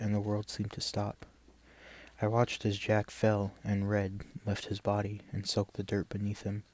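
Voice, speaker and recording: Soft-spoken man with a fairly low pitch, monotone, flat intonation and a moderate pace. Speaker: ASMR content creator. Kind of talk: story reading, first-person western narration.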